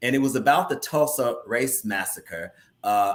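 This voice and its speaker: A man with an American accent, a plain, everyday voice, medium pitch, lively intonation and a fairly slow pace. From US Midwest, central Indiana. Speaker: theater company leader and actor. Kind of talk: casual interview chat.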